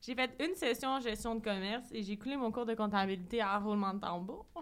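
A woman with a Quebec accent, fairly high pitch, ordinary pitch variation and a moderate pace. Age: 20s. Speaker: entrepreneur. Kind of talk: casual chat.

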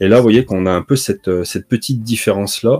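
A man talks at a fairly quick pace with ordinary pitch variation. His tone is dark and mellow, and the sound is dry and close with no echo. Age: 40s. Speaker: comics video creator. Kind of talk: casual chat.

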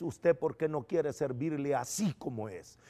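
A man speaks at a moderate pace on a very clean recording, the background silent. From El Salvador. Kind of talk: testimony.

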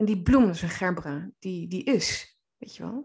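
Over a quiet background, a woman speaks at a medium pitch with ordinary pitch variation and a somewhat breathy sound. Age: 30s. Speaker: coach and therapist. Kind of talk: podcast monologue. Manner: hesitant, many filler words.

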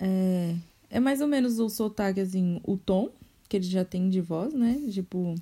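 A woman speaks at a fairly slow pace, at a medium pitch with ordinary pitch variation and very even loudness. Her tone is dark and mellow and somewhat breathy, on a very clean recording with a silent background. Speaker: podcast host. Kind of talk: casual chat.

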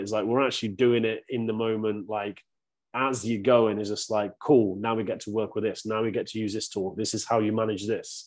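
A man's medium-pitched voice with a British accent, flat and monotone, at a moderate pace against a quiet background. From UK. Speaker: men's coach. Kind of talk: casual chat.

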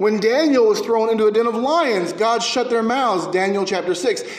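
Through noticeable background noise and audible room echo comes a man's voice at an extremely high pitch. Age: 30s. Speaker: pastor. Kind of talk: sermon. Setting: church.

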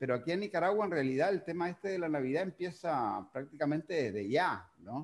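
Speaking at a fairly quick pace with very wide pitch swings and vocal fry, a man is heard on a very clean recording with a silent background. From Uruguay. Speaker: podcast host. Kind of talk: casual interview. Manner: halting.

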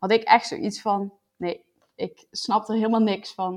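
A woman's voice at a fairly slow pace. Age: 20s. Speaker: new mother sharing birth story. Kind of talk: personal testimony. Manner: hesitant, many fillers.

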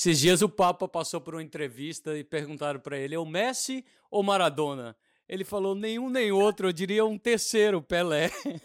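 A man talks with lively intonation at a high pitch. The recording is very clean, with a silent background. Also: fairly quick pace. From Brazil, Belo Horizonte. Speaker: podcast host, film director. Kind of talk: casual interview.

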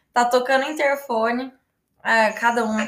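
The woman's voice is high-pitched, with a bright, sharp tone. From Brazil, Paraná (Londrina). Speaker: travel influencer, live host. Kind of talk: casual interview.

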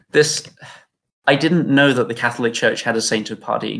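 In a British accent, a man speaks at a moderate pace with vocal fry. His intonation stays fairly even. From UK. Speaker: game developer. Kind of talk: casual chat.

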